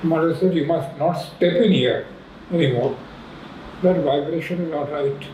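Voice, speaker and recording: Through noticeable background noise and audible room echo, a man with a fairly high pitch talks at a moderate pace with ordinary pitch variation. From India, raised in Pondicherry. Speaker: retired professor. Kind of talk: interview reminiscence.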